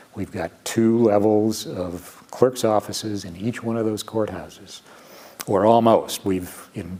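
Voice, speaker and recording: Over noticeable background noise, a man with a fairly low pitch talks at a fairly slow pace with fairly even intonation. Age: 70s. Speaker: chief justice of a state supreme court. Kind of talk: interview. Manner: halting, many fillers.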